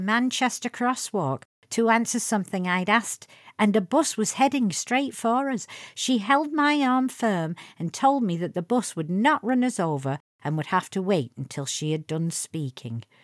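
On a very clean recording with a silent background and a dry, close sound with no echo, a woman in a strong Lancashire accent speaks at medium pitch and a moderate pace, her pitch swinging very widely. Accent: Lancashire English, thick. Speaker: podcast host. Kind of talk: storytelling anecdote, personal podcast.

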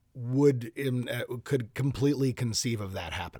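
A man with an Upper Midwest accent, medium pitch and moderate pace, in a very clean recording with a silent background. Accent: Upper Midwest American. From Minnesota, US. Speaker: podcast guest, new father. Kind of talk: casual interview. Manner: energetic, animated.

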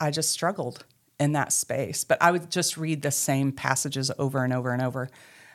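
A woman speaks with an Arkansas accent and fairly even intonation. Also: very clean recording, silent background. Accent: Southern US (Arkansas). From US South, western Arkansas. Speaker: ministry co-founder sharing life story. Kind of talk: testimony.

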